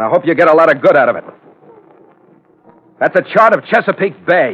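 Putting on a character voice, a man speaks at a fairly quick pace and a fairly high pitch with big pitch swings, his fairly bright tone carrying a slightly husky edge.

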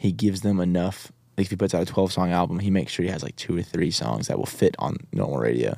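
Over a silent background on a very clean recording, a man with a very deep, low voice, a dark, mellow tone and vocal fry talks very fast with lively intonation and hardly any pauses. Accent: American. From Northern California, small town in Mendocino County. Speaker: country singer-songwriter. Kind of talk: casual chat.

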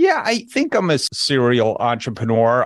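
A man with a New Jersey accent talks at a fairly slow pace in a medium pitch. The sound is dry and close with no echo, over a quiet background. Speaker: business brokerage executive. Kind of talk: podcast interview.

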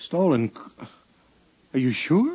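A man does a put-on character voice, slow and fairly high-pitched, with very wide pitch swings. His tone is dark and mellow with a husky, rough edge.

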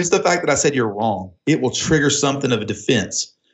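A man is speaking. He has an Oklahoma accent. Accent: Oklahoma country twang. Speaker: entrepreneur and business consultant. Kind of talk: casual phone chat. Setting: phone call.

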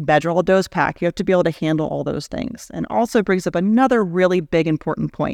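With an American accent, the voice shows vocal fry and ordinary pitch variation. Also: woman, fairly low pitch for a woman, hardly any pauses. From Houston, Texas. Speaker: interventional radiologist. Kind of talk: interview. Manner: fast.

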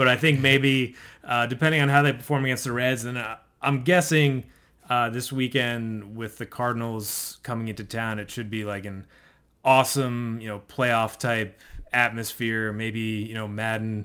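On a very clean recording with a silent background, a man at medium pitch talks at a moderate pace with a bright, sharp tone and fairly even intonation. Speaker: baseball writer, co-host. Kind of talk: casual sports discussion.

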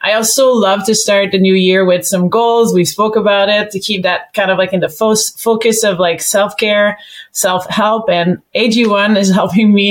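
Speaking at a moderate pace, a woman has an unremarkable speaking voice with medium pitch and fairly even intonation. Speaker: podcast co-host. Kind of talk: casual interview chat.

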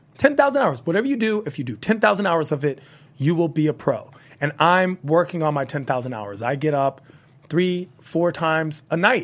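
With an American accent, a man uses a plain, everyday voice at a fairly high pitch, speaking at a moderate pace with lively intonation. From Washington, D.C., US. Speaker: comedian and comedy host. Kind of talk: casual interview chat.

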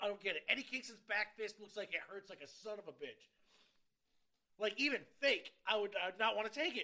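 A man speaks at a fairly quick pace in a raised, projected voice with a bright, sharp tone. His pitch is high and varies in an ordinary way. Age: 30s. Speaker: podcast co-host. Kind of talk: casual chat. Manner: stutter.

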